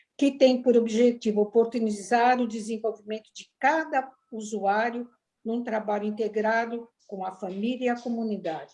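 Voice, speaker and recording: A woman with a fairly high pitch and a dark, mellow tone speaks at a moderate pace, her intonation fairly even but her loudness swinging widely. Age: 70s. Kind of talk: webinar presentation.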